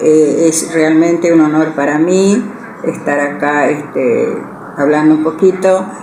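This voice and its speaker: Through audible room echo and noticeable background noise, a woman speaks at a very slow pace. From Argentina, Goya, Corrientes. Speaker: writer and retired teacher. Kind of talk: interview. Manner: halting, many fillers.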